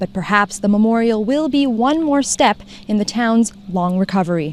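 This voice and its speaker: This woman has an ordinary speaking voice with a fairly high pitch and lively intonation. She speaks at a moderate pace. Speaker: TV news reporter. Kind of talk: TV news report.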